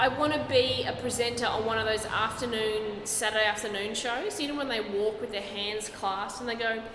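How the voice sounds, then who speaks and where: Over noticeable background noise, a woman with a fairly high pitch speaks at a moderate pace. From Brisbane, Australia. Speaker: stand-up comedian. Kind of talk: interview answer. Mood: jokey, relaxed. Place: hall.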